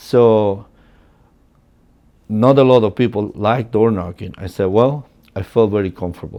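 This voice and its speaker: Slow to continue, a man with a Spanish accent leaves long, frequent pauses at a moderate pace. His fairly low voice has a dark, mellow tone and fairly even intonation. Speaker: real estate agent. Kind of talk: personal storytelling. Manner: casual, many fillers.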